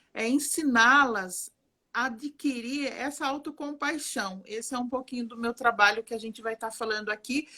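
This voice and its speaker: This woman's voice sits fairly high and has a bright, sharp tone. She speaks at a fairly slow pace with ordinary pitch variation. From Brazil, Alagoas (Northeast) mixed with interior São Paulo. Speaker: psychologist and art therapist. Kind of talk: live stream conversation. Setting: online live stream. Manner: warm, animated.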